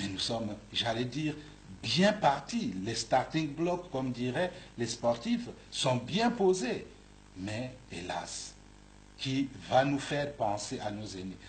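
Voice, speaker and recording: A man talks at a very slow pace, somewhat breathy, with long, frequent pauses and very wide pitch swings. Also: medium pitch for a man. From Republic of the Congo. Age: 60s. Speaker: bishop. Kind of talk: interview. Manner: halting, repeats words.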